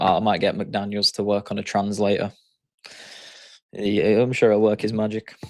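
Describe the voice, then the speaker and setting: A man with a strong Yorkshire accent, fairly low in pitch, flat and monotone, at a moderate pace with long, frequent pauses. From Yorkshire, northern England. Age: 20s. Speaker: day trader. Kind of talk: live stream chat. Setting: live stream. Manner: casual, hesitant fillers.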